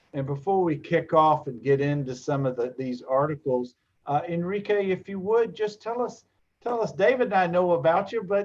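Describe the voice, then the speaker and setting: With lively intonation and a high pitch, a man speaks in an American accent at a moderate pace. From Los Angeles, US West Coast. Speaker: lawyer and show host. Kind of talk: livestream talk show.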